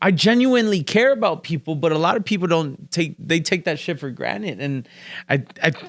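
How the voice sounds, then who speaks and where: A loud, animated man with a high voice, on a very clean recording with a silent background. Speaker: real estate investor and podcast host. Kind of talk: casual interview chat.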